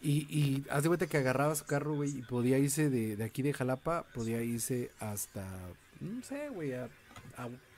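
A medium-pitched male voice amid noticeable background noise. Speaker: podcast host. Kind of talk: casual chat.

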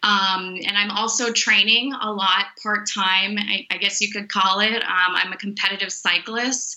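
A woman with an American accent, medium pitch, and monotone, flat intonation at a fairly slow pace, over noticeable background noise. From Miami, Florida. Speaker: sports nutritionist. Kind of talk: interview.

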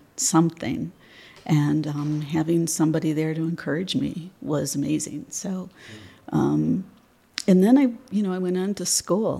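Woman's very deep, low voice in a Midwestern American accent, dark and mellow in tone, at a fairly slow pace. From Michigan, near Detroit. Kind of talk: interview. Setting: studio.

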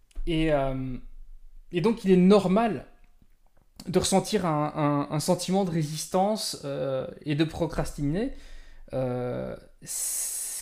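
With a high pitch and lively intonation, a man speaks in a dark, mellow tone. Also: very clean recording, silent background. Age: 30s. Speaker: podcast host and productivity coach. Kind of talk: casual solo talk on a livestream. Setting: live stream recording. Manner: halting, many repetitions and fillers.

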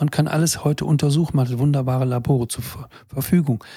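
Somewhat breathy man's voice, fairly high in pitch with a dark, mellow tone, ordinary pitch variation and a moderate pace. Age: 70s. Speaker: physician and health podcaster. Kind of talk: solo monologue to camera. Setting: in front of a camera.

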